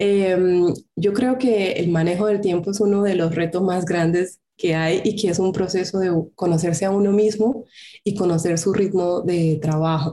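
A woman's dark, mellow voice at medium pitch, with fairly even intonation and very even loudness. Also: fairly slow pace. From Colombia. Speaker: craft entrepreneur. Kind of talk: interview.

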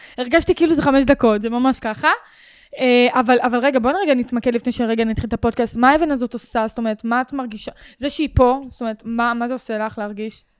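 Ordinary pitch variation at a very fast pace. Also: woman, high pitch for a woman. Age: 20s. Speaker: podcast host. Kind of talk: casual interview.

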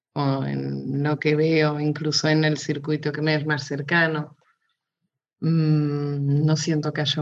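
At a fairly slow pace, the speaker talks with a slight Spanish accent. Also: woman. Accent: slightly Spanish-tinged Portuguese. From Portugal, raised in Mozambique. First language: Portuguese (speaking Spanish). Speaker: illustrator. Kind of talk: casual interview. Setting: video call.

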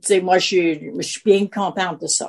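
Her pace is very slow. The woman's pitch stays medium. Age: 70s. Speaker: retiree. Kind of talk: casual chat.

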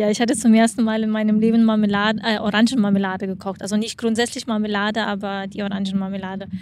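A woman speaks at a fairly high pitch with monotone, flat intonation. She leaves hardly any pauses. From Lithuania. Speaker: athlete and sports camp operator. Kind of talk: casual interview. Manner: hesitant with fillers.

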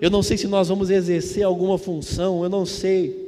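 Speaking in a Brazilian accent with an animated tone and a fairly slow pace, the voice comes through noticeable background noise. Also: man. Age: 30s. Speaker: preacher. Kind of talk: sermon to a live congregation, evangelical Sunday-night preaching. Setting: church. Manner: animated, fervent; call-and-response, exhorting the audience.

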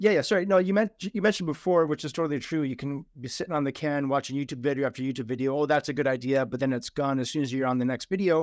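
Speaking with a slight Toronto accent, a man talks at a very fast pace with hardly any pauses. His voice is fairly high, with ordinary pitch variation. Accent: Toronto Canadian, slight. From Toronto, Canada. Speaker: podcast host. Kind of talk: casual interview chat. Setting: video call.

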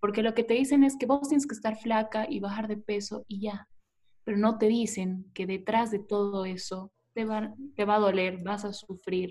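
A woman with a fairly high, somewhat breathy voice speaks at a moderate pace. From Bolivia, Tarija. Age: 20s. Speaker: former beauty pageant contestant. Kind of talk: interview.

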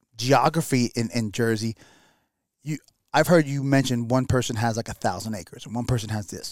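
Speaking at a fairly quick pace in a New York accent, a man with a medium pitch is heard in a very clean recording with a silent background and a dry, close sound with no echo. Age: 40s. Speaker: hunter. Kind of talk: casual chat. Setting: studio.

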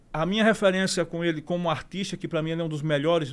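A man speaks in a high pitch. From Sergipe, Brazil (Aracaju). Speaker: songwriter and jingle composer. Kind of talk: casual interview chat.

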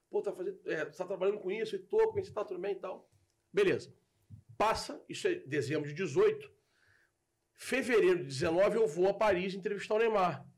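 A man speaks with a Carioca accent at a fairly quick pace. Long, frequent pauses break up his speech. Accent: carioca Brazilian Portuguese. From Rio de Janeiro, Brazil. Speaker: football content creator. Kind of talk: casual chat.

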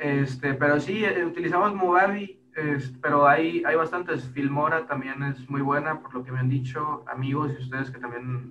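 Pitch moves in an ordinary way. It is an ordinary speaking voice. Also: man. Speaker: podcaster. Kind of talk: casual chat.

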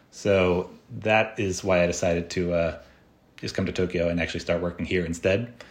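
In an American accent, a man talks at a fairly quick pace with a very deep, low pitch and flat, monotone intonation. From United States. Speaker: tech entrepreneur and software developer. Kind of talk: interview conversation.

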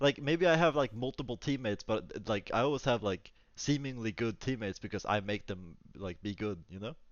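Using an American accent, a man speaks at a fairly quick pace with hardly any pauses. His pitch is medium and his intonation lively. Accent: sounds kind of American. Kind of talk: casual chat.

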